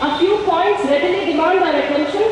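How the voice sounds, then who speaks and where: The speaker has an Indian accent. There is strong room echo and light background noise. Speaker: rally speaker reading resolution. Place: stage. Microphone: podium.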